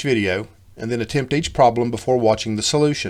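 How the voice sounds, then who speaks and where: The speaker talks very fast in an Appalachian accent. Pitch varies in an ordinary way. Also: man. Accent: Appalachian hillbilly. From US South, Western North Carolina. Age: old. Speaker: coding teacher. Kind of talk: tutorial.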